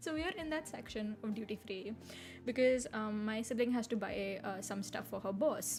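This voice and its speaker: Moderate pace with music playing in the background. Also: woman. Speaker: VTuber streamer. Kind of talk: casual chat. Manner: animated.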